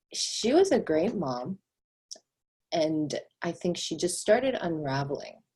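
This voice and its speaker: Very slowly, a woman with a Korean accent speaks at a fairly low pitch in a dark, mellow tone, with very wide pitch swings. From South Korea, moved to US at about five. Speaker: real estate agent. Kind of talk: interview testimony.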